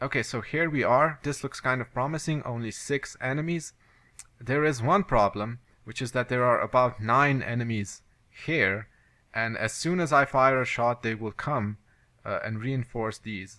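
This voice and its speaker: On a very clean recording with a silent background, a man with a medium pitch and a bright, sharp tone speaks with ordinary pitch variation. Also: moderate pace. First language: not English. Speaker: video game let's play commentator. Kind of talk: gameplay commentary. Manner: halting.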